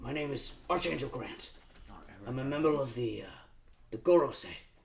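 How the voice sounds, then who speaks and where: A man does a raspy, put-on character voice at medium pitch and a moderate pace. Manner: formal introduction.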